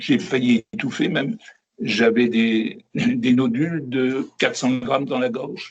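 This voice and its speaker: Here a man talks at a very slow pace with a medium pitch. His intonation is lively. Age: 70s. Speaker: raw vegan interviewee. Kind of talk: interview. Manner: halting.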